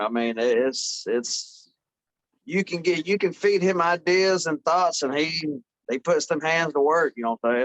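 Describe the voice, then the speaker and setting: A plain, everyday voice belongs to a man with an American accent and a fairly high pitch. His intonation is lively, and the sound is dry and close with no echo. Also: fairly slow pace. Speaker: metal band member. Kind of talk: interview answer.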